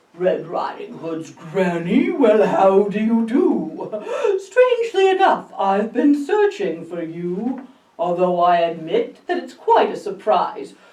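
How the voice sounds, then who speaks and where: A woman puts on a character voice, speaking at a fairly slow pace with a fairly high pitch. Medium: read story. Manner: sly, snarling.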